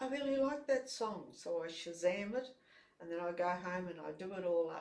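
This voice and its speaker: Someone with an Australian accent speaks at a moderate pace with lively intonation. The room echo is audible. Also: woman. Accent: Australian, noticeable. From Brisbane, Australia. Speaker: ukulele jam leader, multi-instrumentalist. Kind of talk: casual interview. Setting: studio.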